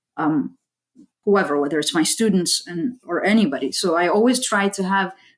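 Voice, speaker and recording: Recorded very cleanly against a silent background, a normal speaking voice with an American accent moves at a moderate pace. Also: woman. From US, Saudi parents. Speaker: aerospace engineer and STEM educator. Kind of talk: interview.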